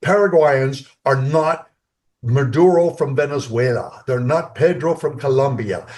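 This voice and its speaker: The voice is somewhat breathy, with ordinary pitch variation. The background is quiet. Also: man. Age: 70s. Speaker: company co-founder. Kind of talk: interview. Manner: halting.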